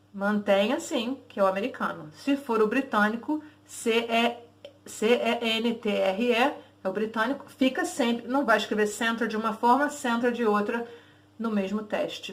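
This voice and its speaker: Fairly high pitch from a woman, a moderate pace, and ordinary pitch variation. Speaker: English teacher. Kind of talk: tutorial. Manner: casual, conversational.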